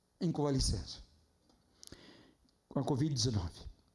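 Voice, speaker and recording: A man's voice comes with audible room echo. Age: 60s. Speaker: pastor. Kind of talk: sermon. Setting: church.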